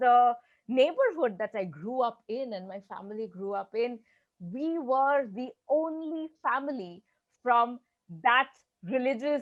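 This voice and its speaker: A woman with a Bengali accent speaks in a high voice at a fairly slow pace, with lively intonation and big swings in loudness. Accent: Indian English, Bengali. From eastern India (Bengal). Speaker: learning consultant. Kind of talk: interview.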